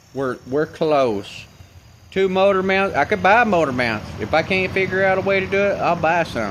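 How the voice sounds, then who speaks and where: This man's delivery moves at a moderate speed. His voice rises and falls in a lively way. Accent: Appalachian. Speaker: DIY car mechanic vlogger. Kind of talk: casual workshop vlog. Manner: hesitant, many filler words.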